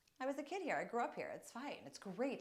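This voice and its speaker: Her pitch rises and falls across a very wide range. The speaker is a woman with an American accent. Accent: Long Island accent, may come out stronger. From US, Long Island, New York. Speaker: wellness coach. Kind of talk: casual vlog talk and guided movement session. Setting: family home.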